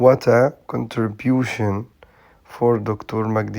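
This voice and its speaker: A man with an Egyptian accent at a medium pitch. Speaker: English teacher. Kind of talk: tutorial. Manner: halting with frequent fillers.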